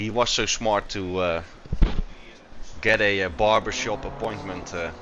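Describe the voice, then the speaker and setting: Amid noticeable background noise and audible room echo, a man with a Dutch accent speaks at a moderate pace in a very deep, low voice with fairly even intonation. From Netherlands. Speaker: sim racing commentator. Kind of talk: live commentary. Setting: live stream broadcast. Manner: hesitant, many fillers.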